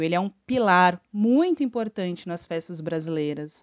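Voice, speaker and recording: A woman with a southeastern Brazilian accent, fairly low in pitch, with ordinary pitch variation at a moderate pace. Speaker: podcast co-host, teacher. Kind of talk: casual educational chat. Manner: animated.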